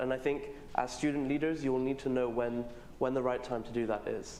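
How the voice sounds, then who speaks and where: A man with a British accent, medium pitch and fairly quick pace, with audible room echo. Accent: British-sounding English. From Pakistan. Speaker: student leader. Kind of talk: panel discussion. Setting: stage with audience.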